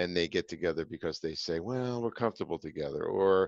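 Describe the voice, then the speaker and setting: With ordinary pitch variation, a man speaks at a very deep, low pitch over a quiet background. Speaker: podcast host and business founder. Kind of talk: interview answers, conversational advice.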